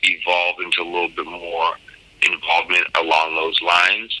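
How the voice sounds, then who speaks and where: With an American accent, a man talks at a moderate tempo against noticeable background noise. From US Northeast, Cambridge/Boston area. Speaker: podcast host, cannabis entrepreneur. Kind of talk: monologue interview answers. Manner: frequent fillers, um and you know.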